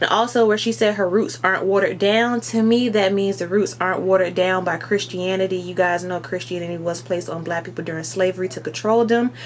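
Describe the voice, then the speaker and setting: Against noticeable background noise, a woman with an American accent talks at a medium pitch. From US South. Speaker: spiritual content creator. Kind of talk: casual commentary vlog. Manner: animated.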